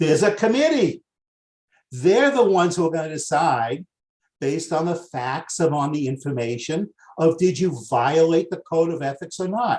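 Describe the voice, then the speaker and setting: A man with a Boston accent is speaking. His pace is moderate and his intonation lively. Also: fairly high pitch for a man. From US Northeast, Boston. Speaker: master coach, webinar presenter. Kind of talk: webinar training. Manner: excitable.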